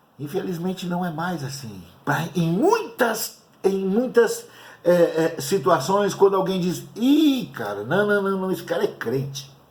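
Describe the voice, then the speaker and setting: High-pitched man at a fairly slow pace, with audible room echo and noticeable background noise. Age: 60s. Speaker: pastor. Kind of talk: sermon. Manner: halting.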